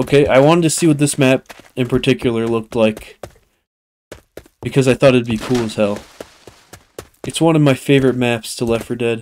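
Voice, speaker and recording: The speaker is a man with a medium pitch. He keeps a moderate pace. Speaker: gaming YouTuber. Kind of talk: gameplay commentary. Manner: casual, animated.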